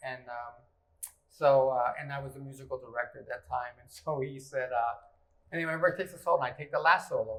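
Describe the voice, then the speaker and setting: Rushing at a very fast pace, a man with a fairly high voice keeps his intonation fairly even while his loudness swings widely. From Texas. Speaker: musician and interviewer. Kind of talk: casual interview. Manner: halting.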